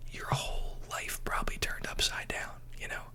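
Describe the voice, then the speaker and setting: A man is whispering in a calm tone at a moderate pace, with noticeable background noise behind him. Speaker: ASMR creator role-playing a therapist. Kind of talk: ASMR therapy roleplay, personal advice talk. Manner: whispered, calm, relaxing.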